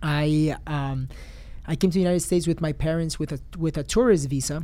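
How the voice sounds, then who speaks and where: A man's normal speaking voice, fairly high in pitch, at a moderate pace. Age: 30s. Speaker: real estate investor. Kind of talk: interview. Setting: studio.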